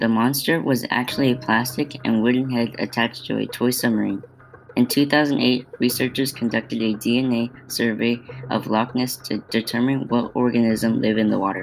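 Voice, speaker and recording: This man talks at a moderate pace in a medium pitch with monotone, flat intonation. Noticeable background noise is present. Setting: home-recorded podcast. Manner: stumbling reader, halting with false starts and repeated words; flat, earnest, steady pacing like a student presenter.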